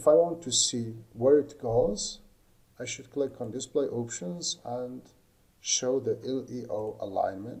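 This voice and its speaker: Speaking at a fairly slow pace, a man with a non-native accent has a medium pitch and ordinary pitch variation. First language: not English. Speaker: lighting design instructor. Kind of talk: tutorial. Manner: halting.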